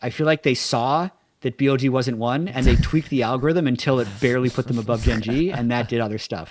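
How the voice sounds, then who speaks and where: In a dry, close sound with no echo, a man with a slight Canadian accent speaks at a very fast pace with hardly any pauses, at a medium pitch with ordinary pitch variation. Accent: slightly Canadian. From Canada. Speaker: esports podcast co-host. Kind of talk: casual chat.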